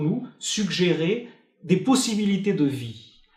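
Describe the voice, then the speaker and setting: Speaking with a Portuguese accent, a man with a high pitch and lively intonation is heard with audible room echo. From Portugal. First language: Portuguese (speaking French). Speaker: philosopher. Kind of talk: interview. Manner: hesitant, many fillers.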